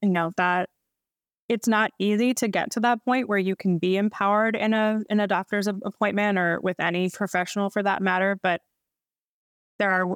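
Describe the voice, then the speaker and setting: An ordinary speaking voice, a woman at medium pitch talks at a moderate pace with fairly even intonation, in a dry, close sound with no echo and a very clean recording against a silent background. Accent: American. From US East Coast, Baltimore. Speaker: registered dietitian. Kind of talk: podcast interview, casual conversation.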